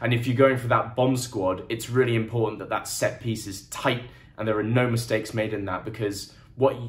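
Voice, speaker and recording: A man with a medium-pitched, somewhat breathy voice talks at a fairly quick pace, and room echo can be heard. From England. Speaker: rugby commentator. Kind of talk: solo game review monologue. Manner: casual, conversational.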